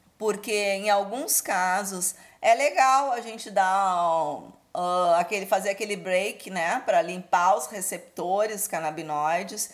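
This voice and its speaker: On a very clean recording with a silent background, a normal speaking voice moves at a fairly slow pace with ordinary pitch variation and big swings in loudness. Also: woman. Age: 40s. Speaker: cannabis cooking teacher. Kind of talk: interview.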